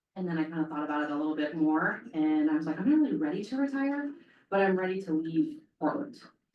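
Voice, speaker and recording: Very fast speech with very wide pitch swings rings out over audible room echo. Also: woman, fairly low pitch for a woman. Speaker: police chief. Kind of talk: public talk.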